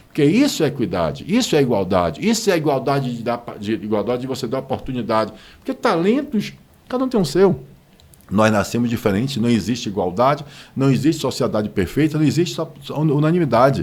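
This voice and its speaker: A man at a medium pitch with very wide pitch swings, vocal fry and a fairly quick pace. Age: 60s. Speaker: business association president. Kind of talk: interview. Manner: animated.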